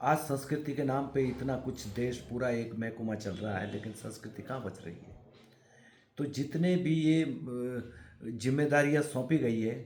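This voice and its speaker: The voice is somewhat breathy, with big swings in loudness. Audible room echo surrounds it. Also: man, medium pitch for a man, ordinary pitch variation. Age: 60s. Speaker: folk art practitioner. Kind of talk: interview.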